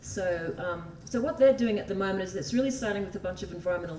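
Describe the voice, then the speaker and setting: A woman speaks very fast with an Australian accent. There is noticeable background noise and audible room echo. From Australia (desert, outback). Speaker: environmental law advocate. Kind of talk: conference talk. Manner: casual, chatty.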